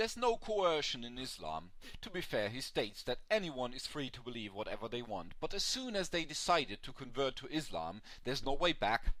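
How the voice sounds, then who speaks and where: A man's fairly high, bright, sharp voice with vocal fry, a fairly quick pace, very wide pitch swings and big swings in loudness. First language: not English. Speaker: atheist video commentator. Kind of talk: video commentary to camera.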